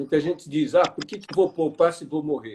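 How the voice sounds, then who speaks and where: This man talks at a moderate pace in a fairly high pitch. His pitch variation is ordinary. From Brazil, interior of Paraná. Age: 60s. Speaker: financial education speaker. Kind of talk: live online interview. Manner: halting.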